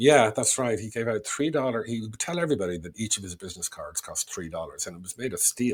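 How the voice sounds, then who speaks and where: The speech comes at a very fast pace from a man. Pitch swings very widely throughout. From Ireland, Dublin. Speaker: sales trainer and author. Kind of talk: podcast interview, casual storytelling.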